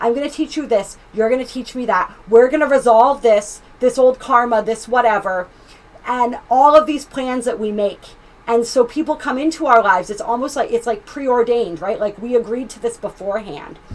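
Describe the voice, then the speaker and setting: Her high voice sounds animated, with ordinary pitch variation and big swings in loudness as this woman speaks. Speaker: tarot reader and astrologer. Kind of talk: tarot reading. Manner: fast.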